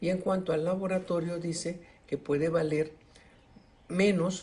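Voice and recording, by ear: A man's fairly high voice, slightly mellow in tone, at a slow pace with fairly even intonation.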